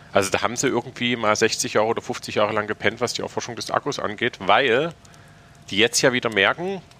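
A man with a plain, everyday voice, medium pitch and ordinary pitch variation speaks at a fairly quick pace in a dry, close sound with no echo. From Saxony, Königstein. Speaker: podcast host. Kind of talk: casual chat. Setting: university building room.

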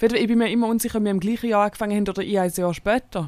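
A woman with a Swiss accent speaks at a very fast pace in a medium pitch. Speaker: podcast co-host, comedian. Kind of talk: casual chat.

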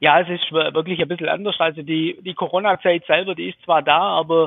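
A man's high voice holds fairly even intonation, delivered at a moderate pace. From Swabia, southern Germany. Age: 40s. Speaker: electrical contractor, business owner. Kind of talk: interview. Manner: hesitant, many fillers.

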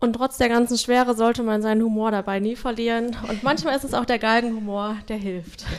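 A woman's fairly high voice, a normal speaking voice, fairly quick with hardly any pauses and fairly even intonation. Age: 30s. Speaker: social work team leader. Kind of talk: casual interview.

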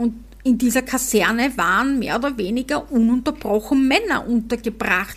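In a Viennese accent, a woman speaks with a high pitch. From Vienna, Austria. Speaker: podcast host. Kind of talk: casual chat. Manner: slow.

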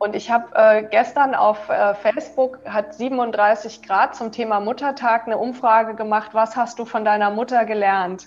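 Speaking at a fairly slow pace with hardly any pauses, a woman has an unremarkable speaking voice, fairly high in pitch and fairly even in intonation. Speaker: yoga teacher and author. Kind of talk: interview. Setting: video call.

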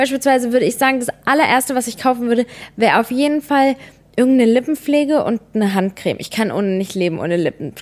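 A woman's high voice, very fast pace, and lively intonation. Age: 20s. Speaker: podcast co-host. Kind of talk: casual chat.

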